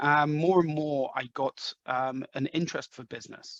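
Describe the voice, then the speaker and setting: A man talks at a moderate pace with fairly even intonation, the sound dry and close with no echo. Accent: English. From England, London. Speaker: sales executive. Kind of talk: interview. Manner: halting, many fillers.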